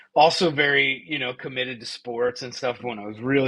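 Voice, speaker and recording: A man's plain, everyday voice, medium in pitch, with fairly even intonation. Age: 40s. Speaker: podcast co-host. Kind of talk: casual chat.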